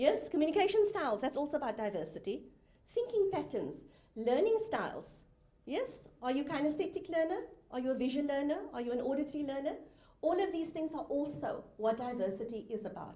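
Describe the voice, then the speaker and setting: A woman speaks at a fairly quick pace in a high, dark, mellow voice with very wide pitch swings. Audible room echo surrounds her. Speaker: professional speaker and inclusion specialist. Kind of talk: conference talk. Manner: fast; interactive.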